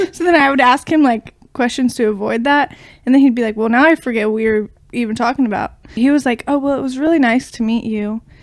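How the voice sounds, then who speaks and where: A woman speaks with an American accent at a very fast pace. Her pitch is high. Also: ordinary pitch variation. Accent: slight southern-sounding. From Ohio. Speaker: podcast co-host. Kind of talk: casual chat.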